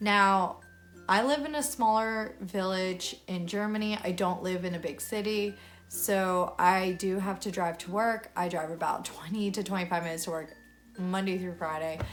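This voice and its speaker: A woman with an American accent speaks in an animated tone at a medium pitch. Her pace is moderate, and room echo is audible. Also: ordinary pitch variation. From United States. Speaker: vlogger. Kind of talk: casual vlog monologue. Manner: chatty, animated.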